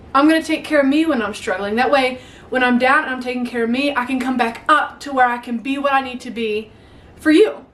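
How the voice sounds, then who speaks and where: A woman's high voice with ordinary pitch variation at a fairly quick pace, against noticeable background noise. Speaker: YouTuber. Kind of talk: motivational talk to camera. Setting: home attic. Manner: animated; stutters at times.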